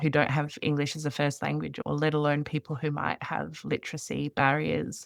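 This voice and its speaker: A woman talks in an Australian accent at a moderate pace. She uses hardly any pauses. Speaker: podcast host, refugee health worker. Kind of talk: interview podcast conversation.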